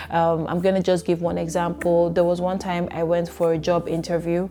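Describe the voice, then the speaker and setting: A woman with a fairly low voice speaks at a fairly quick pace over noticeable background noise. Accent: Nigerian. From Nigeria. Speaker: YouTuber, immigrant. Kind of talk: casual vlog talk to camera. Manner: animated, many repetitions and fillers.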